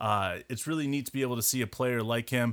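On a very clean recording with a silent background, a man talks fairly quickly at medium pitch with fairly even intonation. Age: 30s. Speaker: sports podcast co-host. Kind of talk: casual chat.

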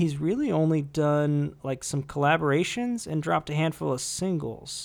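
A man's plain, everyday voice, fairly high, at a moderate pace with hardly any pauses. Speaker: music podcast host. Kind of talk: casual chat about music.

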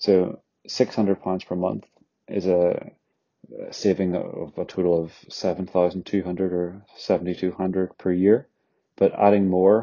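With a Northern Irish accent, this man's very deep, low voice stays monotone and flat. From Northern Ireland. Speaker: finance content creator. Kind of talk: educational explainer monologue. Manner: casual, conversational.

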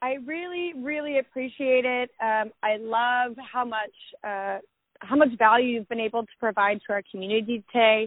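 An unremarkable speaking voice from a woman, moderate in pace, fairly high-pitched, and showing ordinary pitch variation. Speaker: podcast host. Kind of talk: casual interview chat.

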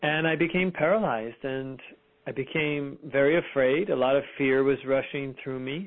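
A man with a Californian accent speaks at a moderate pace with ordinary pitch variation. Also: fairly high pitch for a man. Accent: General American, Californian. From US West Coast, Fremont, California. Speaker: spiritual healer, OCD survivor. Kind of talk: interview, personal testimony.

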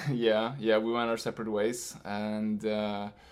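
A man speaks in a Swedish accent. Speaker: podcast guest, boyfriend of co-host.

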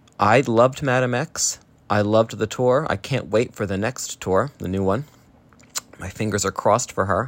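An unremarkable speaking voice with ordinary pitch variation at a moderate pace. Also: man, medium pitch for a man. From US, New Jersey. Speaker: listener sending voice message. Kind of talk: recorded voice message.

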